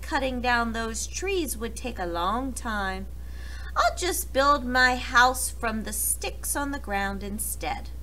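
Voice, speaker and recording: The speaker uses a put-on character voice at a fairly slow pace. Background noise is clearly audible. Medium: read story.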